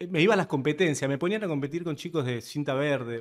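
A man's fairly high voice at a fairly quick pace against a quiet background. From Argentina. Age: 30s. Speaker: podcast guest. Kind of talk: casual interview conversation. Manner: direct. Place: studio. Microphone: studio mic.

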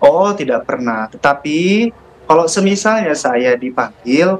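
A man speaks at a very slow pace in a high pitch. His pitch swings very widely over light background noise. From West Java, Indonesia. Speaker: interviewee. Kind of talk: interview. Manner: hesitant with fillers. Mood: earnest, defensive. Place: home room. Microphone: earbuds.

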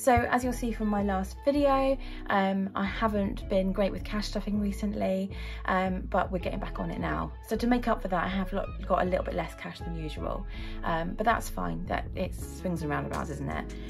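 The speaker keeps a moderate pace while music plays behind. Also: woman. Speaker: budgeting vlogger. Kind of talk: casual vlog chat. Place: home room. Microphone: phone near.

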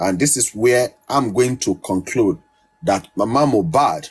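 Speaking at a very slow pace, a man uses a medium-pitched, somewhat breathy voice with lively intonation. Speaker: commentator. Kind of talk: monologue analysis.

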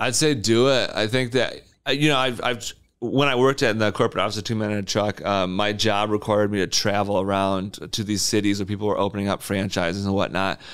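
A man with a Michigan accent talks at a fairly quick pace in a fairly low pitch, his intonation fairly even against a quiet background. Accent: Upper Midwest (Michigan) American. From West Michigan (Wyoming, near Grand Rapids). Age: 30s. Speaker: small business owner, junk removal; podcast guest. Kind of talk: casual interview chat. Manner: casual, filler-heavy. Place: studio. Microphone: studio mic.

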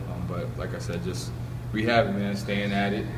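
Noticeable background noise beneath talking at a fairly quick pace. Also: man. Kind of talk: interview answer. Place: hall. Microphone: handheld.

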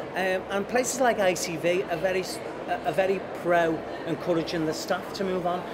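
Loud background noise sits behind a man speaking in a Liverpool accent. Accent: Liverpool (Scouse) English. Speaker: TV director and former actor. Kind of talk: casual interview chat. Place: cafe.

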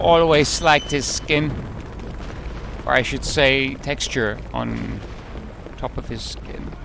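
Speaking very slowly with long, frequent pauses and big swings in loudness, a man is heard in a dry sound with no echo and noticeable background noise. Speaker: video game let's player. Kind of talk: casual gameplay commentary. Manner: relaxed, chatty. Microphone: headset.

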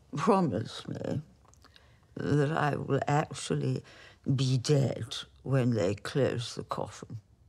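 Against a quiet background, a woman with a very deep, low pitch and vocal fry talks at a very slow pace with lively intonation. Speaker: actress playing a woman facing death. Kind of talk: drama dialogue. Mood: wistful, frail, resigned. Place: home room.

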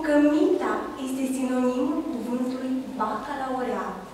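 Amid strong room echo and light background noise, a woman with a high pitch speaks at a fairly slow pace. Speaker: actor in a staged anti-corruption sketch. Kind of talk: dramatic monologue. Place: hall.

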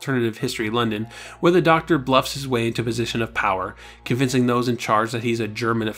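Fairly even intonation in a natural reading voice

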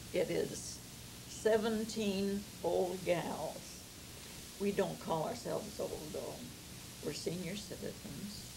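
A woman talks fairly slowly, her pitch varying in an ordinary way, while noticeable background noise continues. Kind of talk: interview answer. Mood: cheerful, fond. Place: home room.

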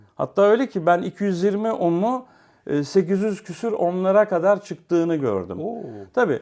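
Against a quiet background, a man with a high pitch and a dark, mellow tone speaks very slowly, his pitch varying in an ordinary way. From Istanbul, Turkey. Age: 50s. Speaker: hi-fi repairer and enthusiast. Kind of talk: casual interview chat.

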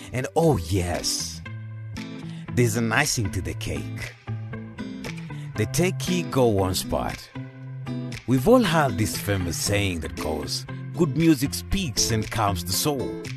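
A man speaks at a very slow pace with a fairly low pitch and long, frequent pauses, his voice dry with no echo over clear background music. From Kenya. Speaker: voice actor. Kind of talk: radio commercial read. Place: studio. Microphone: studio mic.

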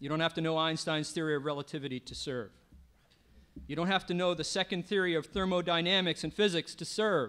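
A man's high-pitched voice at a very fast pace. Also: ordinary pitch variation. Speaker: local politician acting as emcee. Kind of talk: ceremonial speech. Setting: stage with audience. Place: stage. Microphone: podium.

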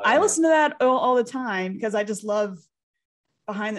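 Against a quiet background, a woman talks at a very fast pace with lively intonation and a fairly high pitch. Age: 30s. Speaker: podcast co-host, speech teacher. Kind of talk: casual chat. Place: home room. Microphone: studio mic.

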